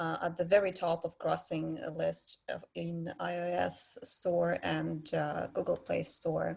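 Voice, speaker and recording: A woman speaks with a Russian accent. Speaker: head of player support. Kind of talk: panel discussion. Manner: halting.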